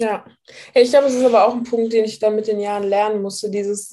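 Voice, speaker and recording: A woman's voice has a dark, mellow tone. Her intonation stays fairly even. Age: 20s. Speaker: weight loss client sharing her story. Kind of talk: interview testimony. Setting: video call.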